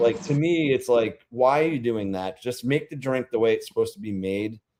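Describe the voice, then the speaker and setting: Lively intonation from a man at medium pitch and a moderate pace. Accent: slight Rhode Island. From Rhode Island, New England. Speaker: beer-tasting vlogger. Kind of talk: casual livestream chat. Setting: livestream. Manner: animated, chatty.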